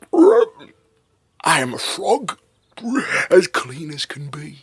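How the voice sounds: A put-on character voice sounds croaky at a middle pitch. It goes along at a very slow pace.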